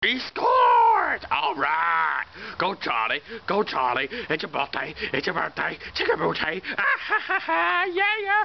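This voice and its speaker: A man does a cartoonish character voice at a fairly slow pace. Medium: puppet show. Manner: playful, excitable, sports-announcer hype.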